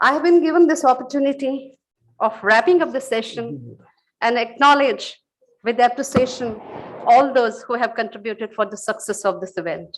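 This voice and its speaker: A high-pitched woman's voice at a moderate pace, with ordinary pitch variation. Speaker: librarian giving vote of thanks. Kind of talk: formal speech.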